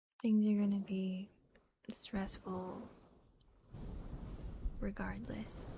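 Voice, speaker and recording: A woman speaks very slowly in a relaxed, somewhat breathy voice, dark and mellow, at a medium pitch. Her delivery is monotone and flat, with long, frequent pauses. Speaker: ASMR streamer and roleplayer. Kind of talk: casual talk to streaming audience. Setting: livestream. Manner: soft-spoken, relaxed, chatty.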